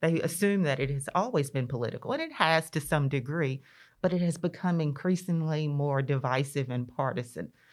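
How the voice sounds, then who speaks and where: Here is a woman with a Mississippi accent and a very deep, low pitch. The recording is very clean, with a silent background. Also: ordinary pitch variation, fairly quick pace. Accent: Southern US (Mississippi). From US South, rural northeast Mississippi (Lee County). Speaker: state legislator. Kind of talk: interview conversation.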